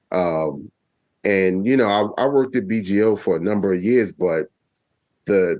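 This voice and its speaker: With a New York accent, a man speaks at a fairly slow pace. His voice sits fairly low, with ordinary pitch variation. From Brooklyn, New York. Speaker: public radio executive. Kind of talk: casual chat.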